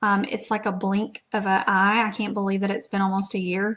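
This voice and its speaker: In a very clean recording with a silent background, a woman with an American accent speaks at a medium pitch with monotone, flat intonation. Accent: Southeast Texas accent, per others. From Southeast Texas. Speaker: network marketing presenter. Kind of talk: live stream presentation. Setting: live video stream. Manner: casual, filler-heavy (lots of um).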